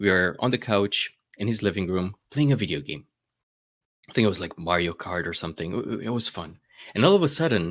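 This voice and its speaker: A man with a slight Romanian accent, a bright, sharp tone, very wide pitch swings and a moderate pace, on a very clean recording with a silent background. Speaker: data management speaker, YouTuber. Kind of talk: conference keynote. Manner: hesitant fillers and repetitions.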